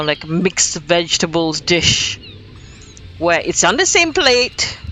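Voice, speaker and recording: Over noticeable background noise, a woman with a Singaporean accent talks at a very slow pace in a fairly low voice. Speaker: video game streamer. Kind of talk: casual live stream chat. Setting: live stream.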